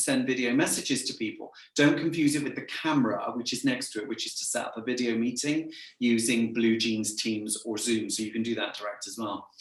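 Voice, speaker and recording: A man with an English accent talks at a fairly quick pace. Audible room echo surrounds him. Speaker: sales trainer and business owner. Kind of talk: interview chat. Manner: camp; energetic.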